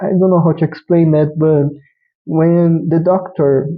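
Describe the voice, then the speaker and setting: A man with a non-native accent speaks at a high pitch. His pace is fairly slow and his intonation monotone and flat. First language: not English. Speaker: vtuber anime reviewer. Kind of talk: casual review monologue. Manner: halting, with restarts.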